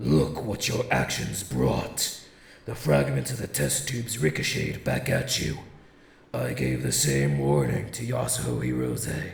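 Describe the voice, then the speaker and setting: A man's cartoonish character voice, very deep and low, at a fairly slow pace with slight echo. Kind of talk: anime dub performance. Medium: dub. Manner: calm, measured, formal.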